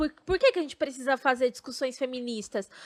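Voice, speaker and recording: Her voice high-pitched and lively in intonation, a woman speaks at a fairly quick pace, the sound dry and close with no echo. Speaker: podcast host. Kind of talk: casual podcast conversation.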